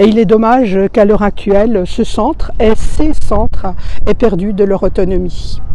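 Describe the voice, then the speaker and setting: A woman speaks at a fairly slow pace with a medium pitch and ordinary pitch variation, her loudness very even, over noticeable background noise and audible room echo. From France, Belfort. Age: 60s. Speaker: retired civil servant, municipal election candidate. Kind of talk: campaign testimony to camera. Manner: hesitant, with frequent fillers.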